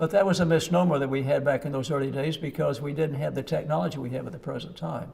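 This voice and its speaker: Talking at a very fast pace with hardly any pauses, a man uses an American accent. His pitch is fairly high, with vocal fry. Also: ordinary pitch variation. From Oklahoma. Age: 90s. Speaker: physician. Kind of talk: interview.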